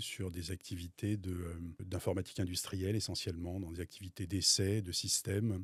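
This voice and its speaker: With a very deep, low pitch and fairly even intonation, a man speaks at a moderate pace on a very clean recording with a silent background. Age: 60s. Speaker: business owner. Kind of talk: interview testimony. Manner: hesitant, many fillers.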